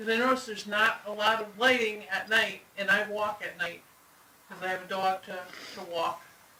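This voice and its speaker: In a raised, projected voice, a man speaks at a high pitch and moderate pace with big swings in loudness, over noticeable background noise. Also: fairly even intonation. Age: 50s. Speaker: public commenter at town meeting. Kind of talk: public comment.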